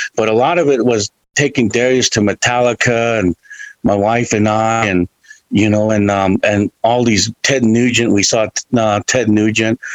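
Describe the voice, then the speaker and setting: The man has a plain, everyday voice at medium pitch. His loudness stays very even, and the sound is dry and close with no echo. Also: fairly even intonation, moderate pace. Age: 50s. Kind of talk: casual chat.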